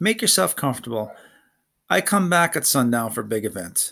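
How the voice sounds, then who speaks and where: In a very clean recording with a silent background, a man does a growling, put-on character voice at medium pitch, moderate pace and very wide pitch swings. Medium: read story. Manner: growling, broken grammar.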